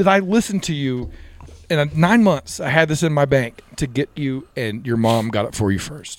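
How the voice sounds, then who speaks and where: With a fairly high pitch, very wide pitch swings and an animated tone, a man speaks. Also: moderate pace. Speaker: firefighter. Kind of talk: casual chat.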